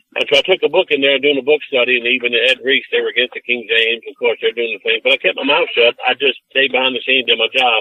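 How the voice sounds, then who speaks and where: A man with an American accent speaks at a very fast pace with hardly any pauses. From US Midwest, southwest Detroit. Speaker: preacher. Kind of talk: interview testimony. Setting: podcast interview. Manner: animated, preachy.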